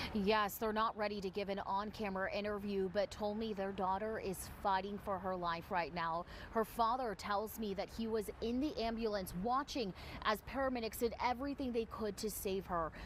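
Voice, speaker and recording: A woman with an unremarkable speaking voice talks at a moderate pace and medium pitch, with fairly even intonation and hardly any pauses. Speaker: TV news reporter. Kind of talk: TV news field report.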